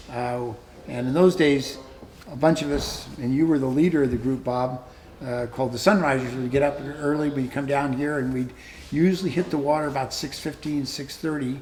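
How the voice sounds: Audible room echo surrounds a man speaking at a medium pitch and a moderate pace. His tone is slightly mellow, and his intonation is fairly even.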